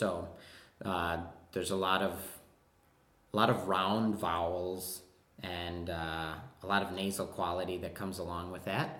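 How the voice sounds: With a Wisconsin accent, a man talks at a fairly slow pace in a low pitch, his fairly bright tone showing little pitch movement. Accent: Wisconsin, American Midwest.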